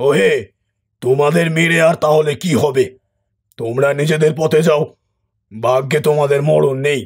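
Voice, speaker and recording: Using a cartoonish character voice, a man talks at a fairly high pitch and moderate pace, with fairly even intonation and very even loudness. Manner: commanding, gruff.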